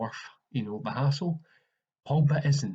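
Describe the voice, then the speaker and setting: A man talks at a fairly quick pace with a Scottish accent. His tone is dark and mellow, somewhat breathy, with ordinary pitch variation. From Scotland. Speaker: football podcaster. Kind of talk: casual solo commentary. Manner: halting with fillers.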